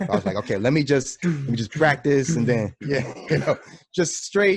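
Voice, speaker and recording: Lively intonation marks this man's speech in a New York accent. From New York, the Bronx. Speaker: drummer. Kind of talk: casual chat.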